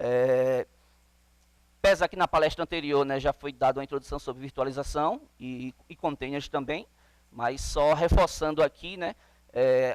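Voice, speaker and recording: A man's fairly high-pitched voice at a fairly slow pace, with fairly even intonation, long, frequent pauses, big swings in loudness, and a dry, close sound with no echo. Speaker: conference speaker on Linux containers. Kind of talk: conference talk.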